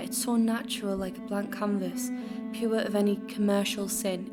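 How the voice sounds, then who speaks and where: A woman speaks with a fairly high pitch and a monotone, flat delivery. Music plays in the background. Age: 20s. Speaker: spoken word artist. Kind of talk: spoken word poetry reading.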